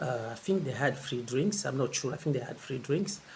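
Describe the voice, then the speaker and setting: With a French accent and vocal fry, a man speaks fairly quickly at a fairly high pitch. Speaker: travel vlogger. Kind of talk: casual vlog monologue. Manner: halting, many fillers and repeats.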